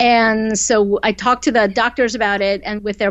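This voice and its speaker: A woman speaks with an American accent at a fairly slow pace. Her pitch is medium, with ordinary pitch variation. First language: Korean. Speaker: novelist. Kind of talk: interview. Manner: conversational with many fillers.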